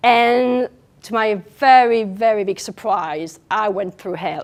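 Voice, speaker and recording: This woman's fairly high voice has lively intonation, captured in a very clean recording with a silent background. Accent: French. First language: French. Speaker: nutritional therapist. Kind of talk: public speech.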